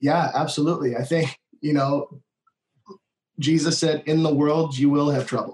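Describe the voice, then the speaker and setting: A man with an American accent speaks at a moderate pace in a fairly high, somewhat breathy voice with monotone, flat intonation and very even loudness. Long pauses come often. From US Midwest, Minnesota. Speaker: worship leader. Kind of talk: casual interview conversation.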